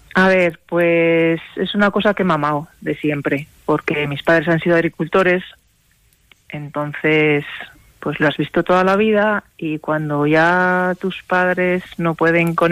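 Fairly low in pitch and at a fairly slow pace, a woman speaks in a monotone with flat intonation. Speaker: rural entrepreneur. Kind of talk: radio interview.

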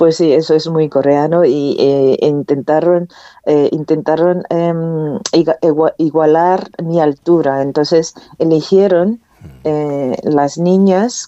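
A woman speaks with a very deep, low pitch and a dark, mellow tone. Her intonation stays fairly even, and the sound is dry and close with no echo. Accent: Korean. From North Korea. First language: Korean (speaking Spanish). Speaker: author. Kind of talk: interview. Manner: halting.

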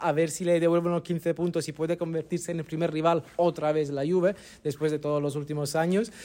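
A man with an Italian accent talks at a fairly quick pace and a fairly high pitch. His tone is dark and mellow, and his intonation is monotone and flat. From Naples, Italy. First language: Italian (speaking Spanish). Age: 30s. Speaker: football journalist. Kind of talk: casual chat.

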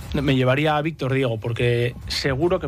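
A man talks fairly quickly, and there is noticeable noise in the background. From Spain, Basque Country (San Sebastián). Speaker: football sporting director. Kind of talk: radio interview. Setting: studio.

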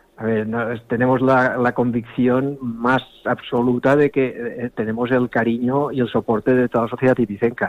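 His pitch sits in the medium range. The man delivers everything in a monotone, flat intonation. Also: moderate pace. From Ibiza. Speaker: sailing club representative. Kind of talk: interview.

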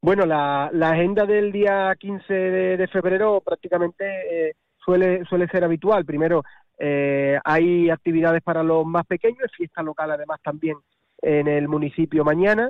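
This man has a high pitch and fairly even intonation. He speaks at a fairly slow pace. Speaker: mayor. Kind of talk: radio interview. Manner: halting.

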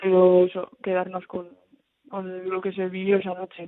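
The woman's voice sits at a medium pitch. It stays monotone and flat throughout. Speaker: footballer. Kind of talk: interview.

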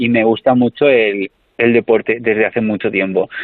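A man at a medium pitch talks with fairly even intonation in a normal speaking voice. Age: 30s. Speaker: comedian. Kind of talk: interview.

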